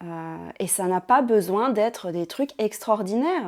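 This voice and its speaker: Her pitch is fairly high, with ordinary pitch variation. The woman speaks at a very slow pace. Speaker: ASMR creator. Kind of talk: casual reflective talk to camera. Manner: soft-spoken.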